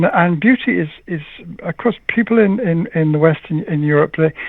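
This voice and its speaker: Ordinary pitch variation at a fairly quick pace. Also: man. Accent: American. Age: 70s. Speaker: poet and translator, scholar. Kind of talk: interview. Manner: halting.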